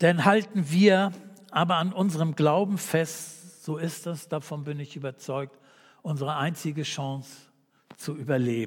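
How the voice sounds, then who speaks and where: A man with a normal speaking voice talks at a fairly slow pace, his pitch fairly high with ordinary variation. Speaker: preacher. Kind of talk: sermon in a church service, calm and earnest, closing with a read-out prayer and amen. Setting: church. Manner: earnest, warm and measured, pastoral and conversational.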